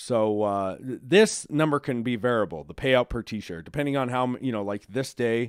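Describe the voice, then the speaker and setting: A man speaks at medium pitch with ordinary pitch variation. The sound is dry and close with no echo, in a very clean recording with a silent background. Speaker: crypto livestream host. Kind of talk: live stream chat reading comments. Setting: live stream. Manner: fast.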